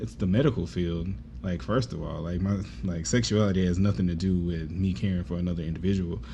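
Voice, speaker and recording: Soft-spoken and somewhat breathy, a man with a very deep, low pitch and a dark, mellow tone talks at a very fast pace with ordinary pitch variation amid audible room echo. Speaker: nurse. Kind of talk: podcast conversation. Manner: calm, level tone.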